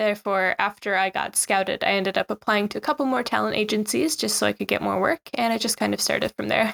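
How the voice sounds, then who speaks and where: Very fast pace from a woman with hardly any pauses, the sound dry and close with no echo. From Newfoundland, Canada. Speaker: Instagram travel creator living in Japan. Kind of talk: interview.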